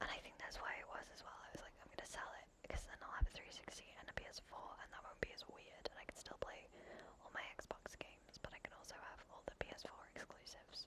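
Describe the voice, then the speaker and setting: Whispering at a fairly quick pace with a gentle tone, the voice comes through noticeable background noise. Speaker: ASMR creator. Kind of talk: ASMR gaming commentary. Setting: headset microphone, home. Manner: whispered, gentle.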